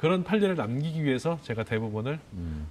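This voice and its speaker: Fairly high in pitch and somewhat breathy, a man's voice makes very wide pitch swings. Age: 50s. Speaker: journalist. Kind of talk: interview.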